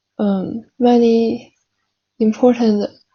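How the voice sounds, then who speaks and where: A woman speaks with a Chinese accent at a fairly high pitch. Her delivery is somewhat breathy, with monotone, flat intonation. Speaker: language learner practising for a speaking exam. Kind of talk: mock speaking exam. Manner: slow; halting.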